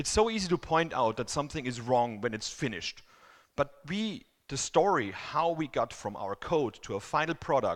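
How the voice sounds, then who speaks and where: Vocal fry runs through a man's voice, which has very wide pitch swings. The recording is very clean, with a silent background. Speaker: conference speaker. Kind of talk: conference talk. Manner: fast.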